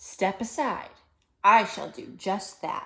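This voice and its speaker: The put-on character voice unfolds rather slowly. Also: female-sounding voice, fairly high pitch for a woman. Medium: read story.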